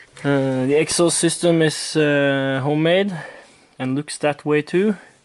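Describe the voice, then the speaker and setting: The voice carries a Norwegian accent. The pace is fairly slow. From Norway. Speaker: moped hobbyist vlogger. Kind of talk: casual vlog tutorial. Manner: halting, many fillers.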